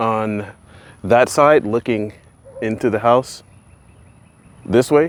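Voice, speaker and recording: A man talks at a very slow pace, his pitch varying in an ordinary way. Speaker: DIY YouTuber. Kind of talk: casual DIY vlog commentary.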